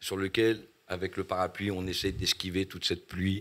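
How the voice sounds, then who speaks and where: Monotone, flat intonation at a fairly quick pace, on a very clean recording with a silent background. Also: man. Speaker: rapper. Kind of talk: casual chat.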